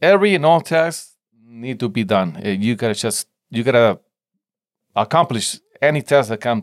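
With a Spanish accent and a medium pitch, a man speaks at a moderate pace with long, frequent pauses, very wide pitch swings and big swings in loudness, in a dry, close sound with no echo on a very clean recording with a silent background. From Mexico (Tijuana border) and San Diego. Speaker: entrepreneur and hot sauce maker. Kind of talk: casual interview chat. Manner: halting, many repetitions and fillers.

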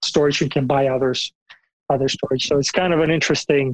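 The speech runs at a fairly quick pace with monotone, flat intonation. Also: man. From Bulgaria. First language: Bulgarian. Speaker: software engineering manager. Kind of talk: interview.

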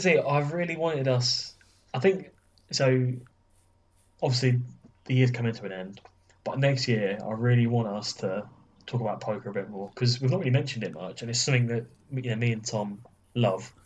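A man's somewhat breathy, medium-pitched voice with ordinary pitch variation and long, frequent pauses. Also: fairly quick pace. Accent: English. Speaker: podcast co-host. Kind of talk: casual chat.

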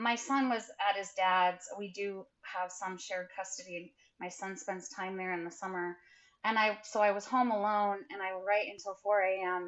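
A woman with a normal speaking voice talks at a medium pitch and a fairly slow pace, keeping her intonation fairly even. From rural Idaho. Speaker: memoirist and English professor. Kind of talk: interview.

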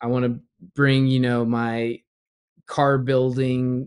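With an American accent, a man speaks at a fairly slow pace and medium pitch in a flat monotone against a quiet background. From Southern California, US. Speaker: YouTuber and sim racer. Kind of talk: casual interview chat.

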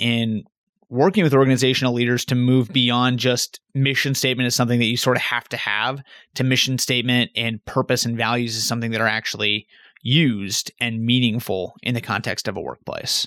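In a normal speaking voice, a man with an American accent talks at a fairly quick pace with medium pitch and fairly even intonation, in a very clean, dry, close recording with a silent background and no echo. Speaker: podcast co-host interviewer. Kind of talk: casual interview.

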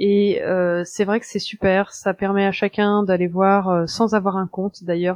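Speaking at a fairly slow pace with hardly any pauses, a woman keeps a medium pitch and a monotone, flat intonation. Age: 30s. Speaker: urban planner and first-time cycle tourist. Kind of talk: interview. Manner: hesitant, many fillers.

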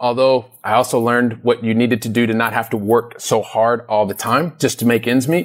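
This man has an unremarkable speaking voice with an American accent, talking fairly quickly at a medium pitch with fairly even intonation and hardly any pauses. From US Midwest (Columbus, Ohio). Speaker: real estate investor. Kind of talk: interview.

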